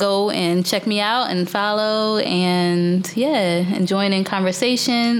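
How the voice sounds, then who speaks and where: A woman talks while noticeable background noise fills the recording. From US Northeast. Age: 30s. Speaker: podcast host. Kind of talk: casual conversational interview. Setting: studio recording at a gallery.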